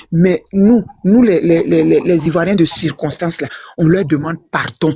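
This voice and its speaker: A woman is talking. Her voice carries some breathiness. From Côte d'Ivoire. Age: 60s. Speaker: political commentator. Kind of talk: casual chat. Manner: animated; halting.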